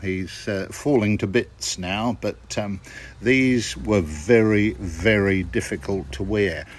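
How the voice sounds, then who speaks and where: A man with a New Zealand accent speaks very slowly with lively intonation. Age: 70s. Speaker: actor. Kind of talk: casual show-and-tell video message.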